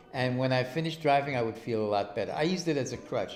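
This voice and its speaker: A man's medium-pitched voice with a New York accent, audible room echo and music in the background. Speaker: interviewee. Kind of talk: personal interview.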